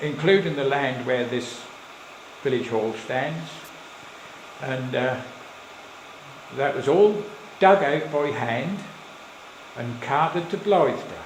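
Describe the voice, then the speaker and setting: A man with a Suffolk accent and a fairly high voice speaks very slowly, with long, frequent pauses and ordinary pitch variation. Noticeable background noise runs underneath. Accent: Suffolk burr. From Suffolk, England. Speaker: local historian. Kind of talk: live slideshow talk to an audience. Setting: village hall, live audience.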